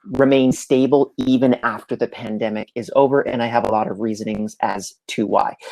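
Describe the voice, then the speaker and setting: Recorded with a dry, close sound and no echo, a man in a normal speaking voice talks at a medium pitch and moderate pace. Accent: Canadian. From Canada, Montreal. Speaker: entrepreneur and remote work speaker. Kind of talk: live presentation. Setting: livestream.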